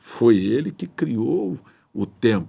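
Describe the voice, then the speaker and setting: This man's voice has a dark, mellow tone. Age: 60s. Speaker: pastor. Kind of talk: sermon. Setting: livestream.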